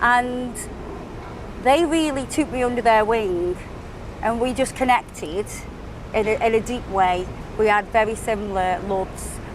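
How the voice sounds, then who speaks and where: There is noticeable background noise behind this woman. She speaks at a fairly slow pace in a fairly high pitch. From England, Stoke-on-Trent. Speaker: nail artist and social media creator. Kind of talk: podcast interview.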